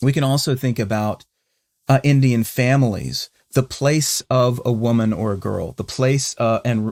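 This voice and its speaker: On a very clean recording with a silent background and a dry, close sound with no echo, a man with a Southern US accent and medium pitch speaks at a moderate pace with ordinary pitch variation. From US South, North Carolina. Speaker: podcast co-host. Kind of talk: conversational discussion. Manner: halting, many false starts.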